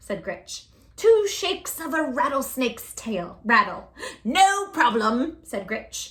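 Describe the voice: Someone does plain reading aloud here.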